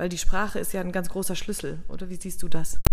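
A woman speaks at medium pitch in a normal speaking voice. Her pitch varies in an ordinary way. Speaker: podcast host. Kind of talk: interview.

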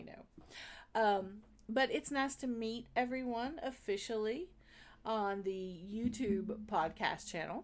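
Slow-paced and animated, a woman talks in a Southern US accent on a very clean recording with a silent background. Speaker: podcast host. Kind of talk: casual solo video monologue. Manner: chatty, animated, laughs often.

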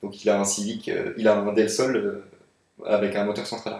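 Speaking at a medium pitch and moderate pace with fairly even intonation, a man is recorded with audible room echo. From France, Paris. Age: 20s. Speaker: car photographer. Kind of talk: casual chat.

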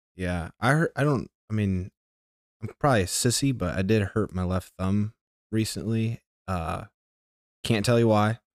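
On a very clean recording with a silent background and a dry, close sound with no echo, a man speaks with ordinary pitch variation and long, frequent pauses. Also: fairly low pitch for a man, moderate pace. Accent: American. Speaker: podcast host. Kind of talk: casual interview chat.

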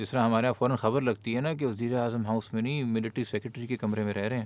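This is a man speaking at a medium pitch. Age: 30s. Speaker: politician and activist. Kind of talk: casual chat.

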